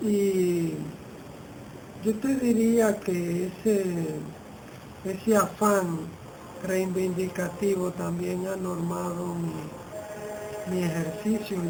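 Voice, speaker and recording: A woman talks at a very slow pace with a medium pitch and fairly even intonation, leaving long, frequent pauses. Noticeable background noise and audible room echo fill the recording. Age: 60s. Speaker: poet and writer. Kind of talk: interview. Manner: halting, repeats words.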